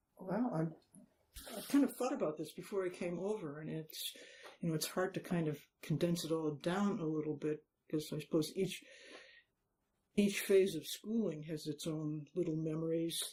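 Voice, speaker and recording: With an American accent, a woman speaks at a moderate pace in a dark, mellow tone, showing ordinary pitch variation and leaving long, frequent pauses. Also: fairly low pitch for a woman. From Massachusetts, Newton. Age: 80s+. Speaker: long-time local resident. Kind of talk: oral history interview. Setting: city hall interview.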